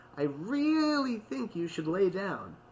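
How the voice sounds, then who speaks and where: A man's put-on character voice, high-pitched, with very wide pitch swings, a fairly slow pace and clear background noise. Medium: read story. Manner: earnest, slightly flustered.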